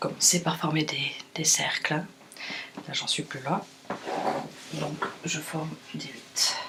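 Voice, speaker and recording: Quiet and whispering over noticeable background noise, a woman speaks at a very slow pace with long, frequent pauses. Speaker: furniture finisher. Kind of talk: tutorial explanation. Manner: near-whispered, quiet.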